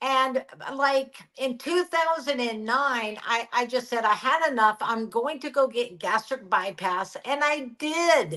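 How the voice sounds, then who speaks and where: The voice has a bright, sharp tone and lively intonation, raised and projected while moving at a very slow pace. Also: woman, high pitch for a woman. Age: 60s. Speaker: guest sharing weight loss experience. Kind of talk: casual interview chat. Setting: live-streamed video podcast. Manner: halting.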